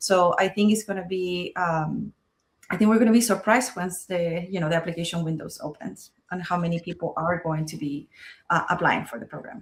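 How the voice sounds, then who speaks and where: A woman speaks at a fairly quick pace with a somewhat breathy voice. Her pitch is fairly low, with ordinary variation. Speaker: school choice policy advocate. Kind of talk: interview.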